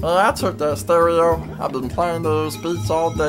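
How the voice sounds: Over loud background music, a man does a put-on character voice that is gravelly and fairly high, delivered at a moderate pace.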